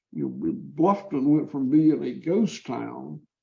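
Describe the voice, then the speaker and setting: At a fairly slow pace, a man talks with a Southern US accent. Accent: Southern US (Georgia). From US South, Georgia. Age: 60s. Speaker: farmer. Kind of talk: podcast interview.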